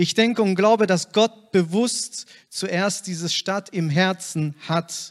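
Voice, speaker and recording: Very slowly and with fairly even intonation, a man speaks in a high voice, the sound dry and close with no echo. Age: 30s. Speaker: church planter. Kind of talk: testimony.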